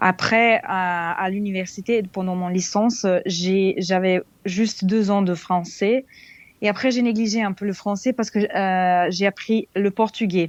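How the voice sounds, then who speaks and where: A woman with a Serbian accent, fairly slow pace and fairly even intonation, over a quiet background. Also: medium pitch for a woman. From Serbia, Belgrade. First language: Serbian (speaking French). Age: 20s. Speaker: expat interviewee. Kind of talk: podcast interview. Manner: halting, many hesitations.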